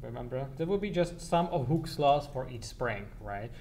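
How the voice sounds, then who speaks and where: Vocal fry runs through a man's voice, heard with audible room echo. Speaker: university lecturer. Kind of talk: lecture. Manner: halting, many repetitions; fast.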